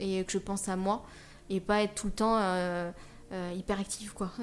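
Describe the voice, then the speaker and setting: Moderately paced woman's voice, medium in pitch, in a flat monotone. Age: 30s. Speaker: wheelchair user, social media creator. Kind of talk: personal testimony in interview. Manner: hesitant, many fillers.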